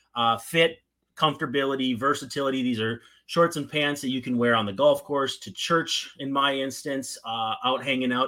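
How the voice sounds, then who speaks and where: The speaker talks at a moderate pace with a slight Minnesotan accent. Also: man, medium pitch for a man. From northern Minnesota. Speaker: podcast host. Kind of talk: podcast interview, casual chat.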